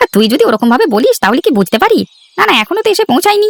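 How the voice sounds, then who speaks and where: A cartoonish character voice races along at a very fast pace, extremely high in pitch with very wide pitch swings. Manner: brash, teasing.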